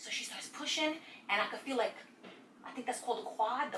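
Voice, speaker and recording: Over noticeable background noise, a woman with an American accent talks at a very fast pace. Her tone is animated, with ordinary pitch variation. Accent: New York, Nuyorican. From Brooklyn, New York. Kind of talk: casual story time to camera. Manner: animated, comedic.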